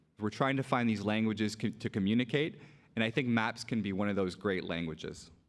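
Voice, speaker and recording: A man with a fairly low pitch, ordinary pitch variation and a fairly quick pace. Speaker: librarian, conference speaker. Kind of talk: conference talk. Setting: stage with audience. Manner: loud.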